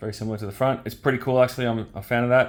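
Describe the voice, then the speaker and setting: A man talks with an Australian accent. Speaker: toy reviewer. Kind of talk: product review.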